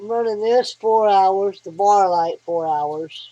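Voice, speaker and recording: In a Southern US accent, a woman of medium pitch speaks at a very slow pace with ordinary pitch variation. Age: 60s. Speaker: hobbyist vlogger. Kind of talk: casual tutorial. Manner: folksy, conversational.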